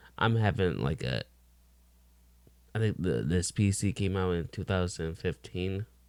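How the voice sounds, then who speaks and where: In a very clean recording with a silent background, a man with a fairly low pitch speaks at a fairly slow pace. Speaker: gaming reaction streamer. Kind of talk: reaction commentary. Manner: self-described slow talker; halting.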